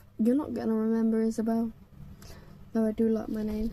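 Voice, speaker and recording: A woman's fairly high pitch rises over noticeable background noise. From England, Kent. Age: 20s. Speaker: vlogger. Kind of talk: casual monologue. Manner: halting, many fillers.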